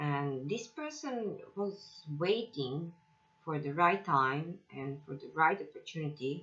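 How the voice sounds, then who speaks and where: Someone with a non-native accent speaks at a very slow pace. The intonation is lively. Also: woman, very deep, low pitch for a woman. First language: not English. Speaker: tarot reader. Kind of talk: tarot reading. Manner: halting, with many fillers.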